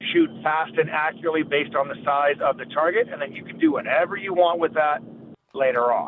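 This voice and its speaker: The speaker is a man with big swings in loudness. He moves along at a fairly quick pace. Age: 50s. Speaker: firearms trainer. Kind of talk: interview. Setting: phone call.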